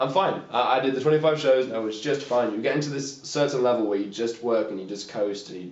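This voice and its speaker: Amid noticeable background noise, a man with a medium pitch and ordinary pitch variation talks at a very fast pace with hardly any pauses and big swings in loudness. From England (Yorkshire-born, raised in Norfolk). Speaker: musician. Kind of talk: casual interview. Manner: casual, halting.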